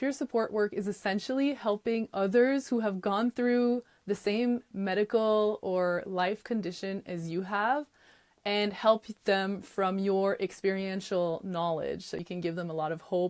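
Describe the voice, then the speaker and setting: A woman with a Quebec accent speaks in an animated tone at a fairly slow pace, her medium pitch moving with ordinary variation in a dry, close sound with no echo. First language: French. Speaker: podcast host and yoga teacher. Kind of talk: podcast monologue.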